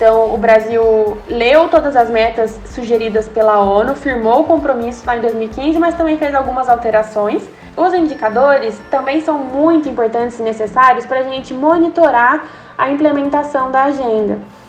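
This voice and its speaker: A woman's high voice at a moderate pace, with ordinary pitch variation and music in the background. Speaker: sustainability researcher. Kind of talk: podcast interview.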